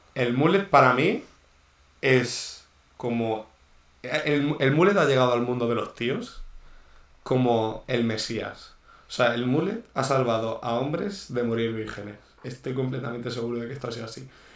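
Audible room echo surrounds a man speaking at a medium pitch with ordinary pitch variation. He goes fairly slowly and leaves long, frequent pauses. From Murcia, Spain. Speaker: podcast co-host. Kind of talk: casual chat. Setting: indoors.

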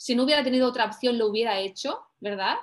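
A woman's high voice with ordinary pitch variation, on a very clean recording with a silent background. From Spain, Mediterranean coast (Tarragona, Barcelona, Valencia). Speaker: life coach. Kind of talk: personal testimony.

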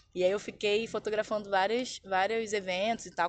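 With ordinary pitch variation, a woman in a normal speaking voice talks at a fairly quick pace. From Brazil, Baixada Fluminense (Rio de Janeiro). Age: 20s. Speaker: visual artist. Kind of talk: interview.

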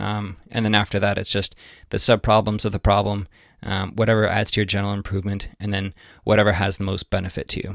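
The recording is very clean, with a silent background and a dry, close sound with no echo. A man talks at a fairly quick pace. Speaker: podcast host. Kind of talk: solo podcast monologue. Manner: fast.

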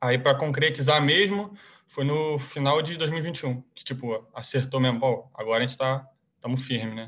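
A man with a normal speaking voice at a medium pitch, ordinary pitch variation, a moderate pace and big swings in loudness. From Brazil, Rio de Janeiro. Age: 20s. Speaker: college soccer player. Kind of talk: casual interview.

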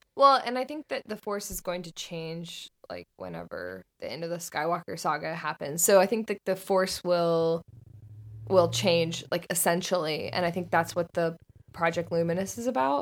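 In an ordinary speaking voice with an American accent, a woman talks at a moderate pace in a fairly low pitch with ordinary pitch variation, on a very clean recording with a silent background and a dry, close sound with no echo. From US South, Northern Florida. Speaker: video essayist and podcaster. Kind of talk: casual chat.

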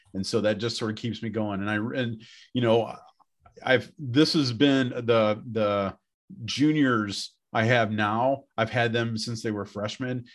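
Over a quiet background, a man with an American accent talks at a fairly slow pace and medium pitch. He has an unremarkable speaking voice with fairly even intonation. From Wisconsin, Beloit. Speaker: high school principal. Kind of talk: casual interview chat.

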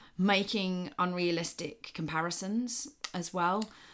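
A woman with an ordinary speaking voice talks at a fairly low pitch and a fairly slow pace. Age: 30s. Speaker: personal trainer and podcast co-host. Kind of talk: casual chat.

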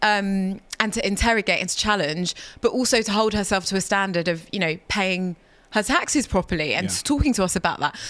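On a very clean recording with a silent background, a woman with a London accent speaks at a fairly quick pace. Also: medium pitch for a woman, ordinary pitch variation. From London, of Ghanaian parents. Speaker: former wealth lawyer turned campaigner. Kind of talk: interview. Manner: halting, repeats words.

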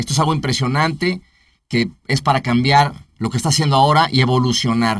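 A man with an unremarkable speaking voice, fairly high in pitch, fairly even intonation, fairly quick pace. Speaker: entertainment producer, entrepreneur. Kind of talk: interview chat.

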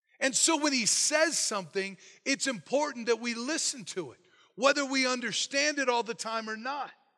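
A man speaks in a raised, projected voice with a bright, sharp tone, extremely high pitch and lively intonation. The recording is very clean with a silent background. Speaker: pastor. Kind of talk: sermon. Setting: church. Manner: loud when excited.

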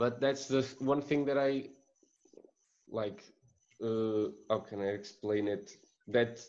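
A man speaks at a fairly slow pace. He has a Portuguese accent. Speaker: student podcast co-host. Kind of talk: interview.

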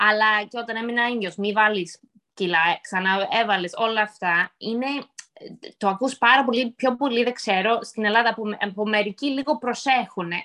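Bright, sharp tone in a woman's fairly high-pitched voice. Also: ordinary pitch variation, fairly slow pace. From United States, Greek-American. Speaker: podcast host. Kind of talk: casual chat.

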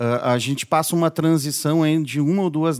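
A man's high-pitched voice at a moderate pace, on a very clean recording with a silent background. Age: 40s. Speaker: podcast host. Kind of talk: casual interview. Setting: studio.

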